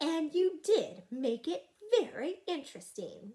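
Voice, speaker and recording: In a put-on character voice, a woman speaks at a fairly slow pace with an extremely high pitch, a gentle, warm tone and very wide pitch swings. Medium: read story.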